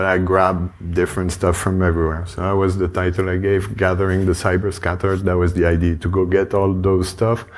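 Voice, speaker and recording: There is audible room echo as the speaker, with a French accent, talks at a fairly quick pace in a monotone, flat intonation. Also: man, very deep, low pitch for a man. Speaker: conference speaker on cybersecurity tooling. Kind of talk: conference talk. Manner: casual, hesitant with fillers.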